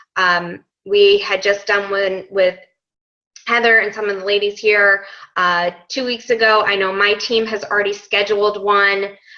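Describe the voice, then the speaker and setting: Her intonation monotone and flat, a woman talks at a fairly slow pace in a medium pitch. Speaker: fitness coach sharing conference takeaways. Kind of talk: team conference call recap.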